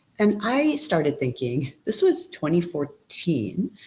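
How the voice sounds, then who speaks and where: A woman does the talking. There is a somewhat breathy quality to her voice. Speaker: technology director speaking on accessibility. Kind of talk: conference presentation.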